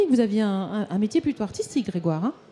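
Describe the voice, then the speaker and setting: A man talks with lively intonation. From Auvergne. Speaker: TV show host. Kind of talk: live TV interview. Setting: live broadcast at agricultural fair. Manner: hesitant, many fillers.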